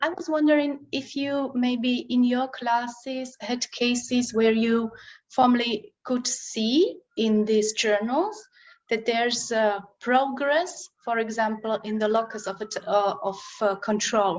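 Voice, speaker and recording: A woman with a Slovak accent speaks at a very slow pace in a high voice with ordinary pitch variation. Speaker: translation studies researcher. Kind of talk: conference Q&A and presentation.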